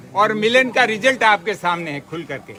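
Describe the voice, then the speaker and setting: A man speaks in a raised, projected voice. Noticeable background noise sits behind him. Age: 70s. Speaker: retired university employee, protest leader. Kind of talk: public speech.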